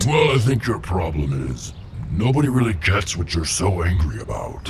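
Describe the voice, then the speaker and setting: A man uses a cartoonish character voice pitched very deep and low. He speaks at a moderate pace over clear background noise. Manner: calm, dry.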